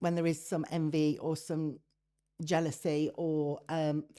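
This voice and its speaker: A woman with a British accent, a fairly low pitch and a dark, mellow tone, on a very clean recording with a silent background. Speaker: business strategist and leadership expert. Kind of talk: interview. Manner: loud; animated.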